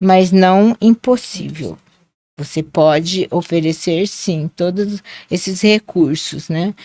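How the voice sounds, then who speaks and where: At a very slow pace, a woman speaks in a medium pitch with a dark, mellow tone and ordinary pitch variation, the sound dry and close with no echo. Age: 60s. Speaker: dance teacher. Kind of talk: podcast interview.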